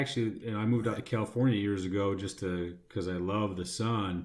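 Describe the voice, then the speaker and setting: A man with an American accent talks fairly quickly. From US Midwest, Chicago suburbs. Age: 40s. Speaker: expat guest. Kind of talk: casual chat. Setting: studio. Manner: halting, many fillers.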